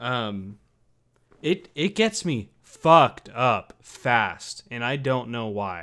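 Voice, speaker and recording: The voice has a bright, sharp tone and lively intonation, delivered at a very slow pace. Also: man, medium pitch for a man. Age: 20s. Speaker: podcast co-host. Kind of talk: casual chat.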